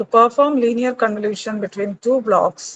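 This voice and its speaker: Heard in a dry, close sound with no echo, a woman with a Keralan accent speaks at a fairly slow pace with fairly high pitch and ordinary pitch variation. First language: Malayalam. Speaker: lecturer. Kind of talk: lecture.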